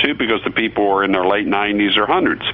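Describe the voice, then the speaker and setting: Noticeable background noise is heard throughout. Over it, a man talks at a medium pitch. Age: 60s. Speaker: radio host and physician. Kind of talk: talk radio commentary. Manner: halting, many repeated words and fillers.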